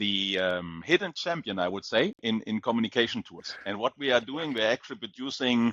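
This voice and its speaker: A man with a German accent at medium pitch, lively in intonation, fairly quick and hardly pausing. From Germany. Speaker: company CEO. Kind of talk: interview. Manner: hesitant with many fillers.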